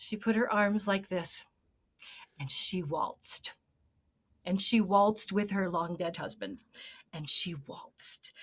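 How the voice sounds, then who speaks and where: Somewhat breathy, a woman speaks at a fairly slow pace and medium pitch, with ordinary pitch variation and long, frequent pauses. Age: 60s. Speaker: singing teacher. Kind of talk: panel discussion.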